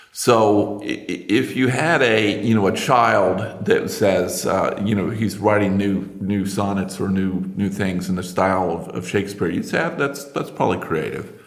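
A man speaks at a fairly slow pace and fairly low pitch with hardly any pauses. His pitch variation is ordinary, and there is noticeable background noise. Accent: American. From United States. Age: 50s. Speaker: industrial researcher and inventor. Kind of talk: casual interview chat.

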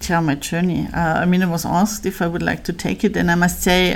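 A woman is speaking. She has a German accent. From Bavaria, Germany. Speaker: company finance executive. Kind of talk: interview.

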